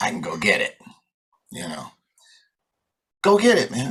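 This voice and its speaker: A man with an American accent and vocal fry, speaking at a moderate pace. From New York. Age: 60s. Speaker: jazz guitarist. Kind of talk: interview, storytelling.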